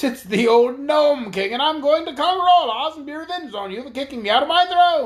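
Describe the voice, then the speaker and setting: This put-on character voice runs high in pitch and fairly quick, with hardly any pauses. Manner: angry.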